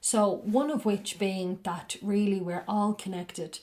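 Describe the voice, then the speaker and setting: Fairly slow and fairly even in intonation, a woman talks in a medium pitch. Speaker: spiritual podcast host reading books aloud. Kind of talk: casual reflective commentary after a reading; slow, careful book reading. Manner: slowed down, carefully enunciated when reading.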